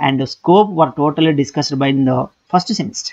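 A man with an ordinary speaking voice uses ordinary pitch variation over a quiet background. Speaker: economics lecturer. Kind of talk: lecture.

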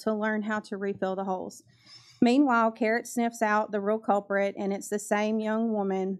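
A woman's voice with little sound behind it. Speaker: public commenter at board meeting. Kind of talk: public comment reading excerpts. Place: meeting room. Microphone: podium.

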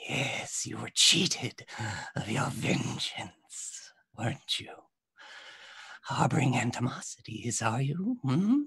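A man in a put-on character voice speaks at a very slow pace and a medium pitch, with long, frequent pauses. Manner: taunting, menacing.

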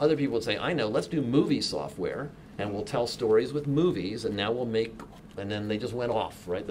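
The speaker has an American accent and talks at a moderate pace with ordinary pitch variation. Light background noise can be heard. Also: man. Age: 60s. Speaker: software developer and keynote speaker; keynote speaker. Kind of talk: keynote talk. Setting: stage with audience. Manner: animated. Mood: relaxed, humorous storytelling. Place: meeting room.

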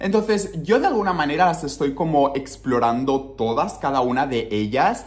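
A man at a moderate pace, his intonation lively. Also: hardly any pauses. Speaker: vlogger. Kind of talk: casual vlog chat. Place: home room. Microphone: phone near.

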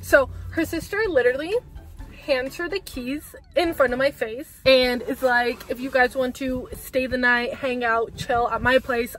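At a moderate pace and a high pitch, a woman speaks in an animated tone with ordinary pitch variation, in a dry sound with no echo over faint background music. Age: 20s. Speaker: vlogger. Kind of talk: casual storytime talk to camera. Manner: chatty, animated. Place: car. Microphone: phone near.

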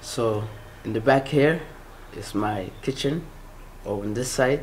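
Over light background noise, a man speaks slowly, at a fairly low pitch and a fairly slow pace. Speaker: home gardener vlogger. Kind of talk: casual vlog chat. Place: garden. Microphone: phone near.

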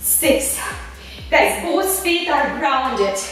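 Over faint background music, a woman speaks with strong room echo. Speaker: fitness instructor. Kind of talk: workout class instruction. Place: studio.

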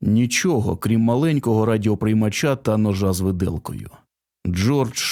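Ordinary pitch variation in plain reading aloud, set against a quiet background

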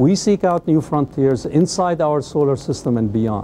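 There is light background noise as a man speaks at a moderate pace with lively intonation. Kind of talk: scripted welcome address. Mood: warm, welcoming. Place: office. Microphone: lapel.

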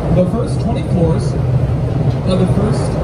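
Loud background noise accompanies a man talking at a moderate pace. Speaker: boat tour guide. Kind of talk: tour guide commentary. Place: boat.

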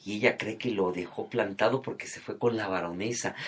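A man speaks with a Mexican accent and an animated tone. His pitch varies in an ordinary way. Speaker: entertainment commentator. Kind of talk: casual chat.

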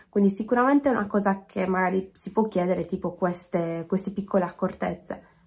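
Over a quiet background, a woman talks at a fairly quick pace with hardly any pauses, her somewhat breathy voice keeping a fairly even intonation. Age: 20s. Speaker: DJ; interviewee. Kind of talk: self-interview. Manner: halting. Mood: calm, reflective. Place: home room. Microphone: phone near.

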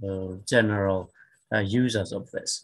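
At a very slow pace and with ordinary pitch variation, the voice sits over a quiet background. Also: man. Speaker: surgeon, panel co-chair; panel co-chair. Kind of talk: moderated panel discussion. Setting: video call. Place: home room. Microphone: webcam.

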